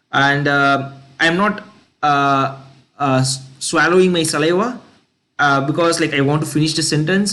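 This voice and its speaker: A man with a fairly high pitch speaks at a moderate pace, leaving long, frequent pauses. His loudness is very even, his pitch varies in an ordinary way, and audible room echo surrounds him. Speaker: accent training student. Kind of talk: recorded practice monologue. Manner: halting, many fillers.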